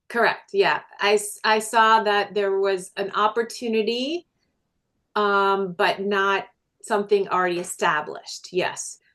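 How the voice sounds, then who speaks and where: In an American accent, a woman speaks with a medium pitch and ordinary pitch variation. Her tone is bright and sharp against a quiet background. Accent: Minnesota accent, shows when talking fast. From Minnesota. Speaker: businesswoman and energy healer. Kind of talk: interview.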